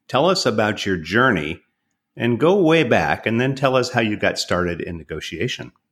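On a very clean recording with a silent background, a man with a medium pitch and vocal fry speaks at a moderate pace, his pitch swinging very widely. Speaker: podcast host. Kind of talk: interview podcast, conversational.

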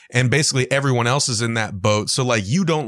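The background is silent and the recording very clean. A man talks with ordinary pitch variation. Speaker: author and podcaster. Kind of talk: casual interview chat.

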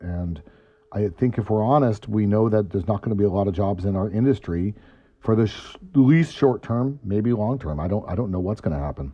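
A man with an ordinary speaking voice, pitched fairly low, talks at a fairly quick pace. His intonation is lively. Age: 50s. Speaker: restaurant owner. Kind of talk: interview.

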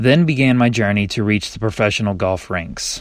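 On a very clean recording with a silent background, a man with an American accent and a normal speaking voice talks at a moderate pace, medium pitch and ordinary pitch variation. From North Carolina, Kernersville. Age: 20s. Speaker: golf mental coach. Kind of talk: scripted narration.

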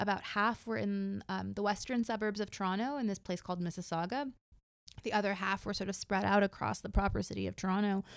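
Talking at a very fast pace with an American accent, a woman keeps a medium pitch and fairly even intonation. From United States. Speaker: sociology professor. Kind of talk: casual interview. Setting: her office.

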